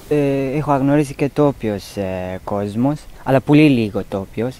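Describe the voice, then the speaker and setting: Speaking at a very slow pace with a non-native accent, a man has a fairly high pitch and a dark, mellow tone. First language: not Greek (speaking Greek). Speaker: migrant resident, court interpreter. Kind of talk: personal testimony while walking. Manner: halting.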